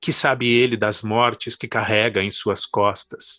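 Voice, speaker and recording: Against a quiet background, the voice has a bright, sharp tone and moves at a fairly slow pace. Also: man, dry, close sound with no echo. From Brazil, São Paulo. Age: 40s. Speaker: poet and professor. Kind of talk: poetry reading.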